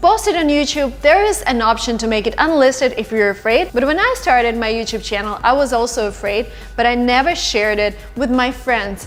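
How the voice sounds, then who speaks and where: A woman with a Russian accent speaks at a moderate pace, her high voice full of lively intonation. Music plays in the background. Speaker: YouTuber, language tips. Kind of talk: vlog advice talk. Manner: animated.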